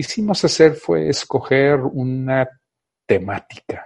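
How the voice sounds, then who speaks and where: The pace is very slow. A man talks in a somewhat breathy voice. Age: 50s. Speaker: radio host. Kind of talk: radio monologue. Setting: studio. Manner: halting.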